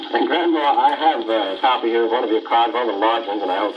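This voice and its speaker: A man rushes along at a very fast pace while noticeable background noise runs underneath. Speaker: radio interviewer. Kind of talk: radio interview questions.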